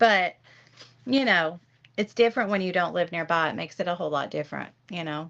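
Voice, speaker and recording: In a Southern US accent, a woman with a fairly low pitch and vocal fry talks at a very fast pace with ordinary pitch variation, broken by long, frequent pauses. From Tennessee. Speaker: livestream host. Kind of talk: casual chat. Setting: livestream.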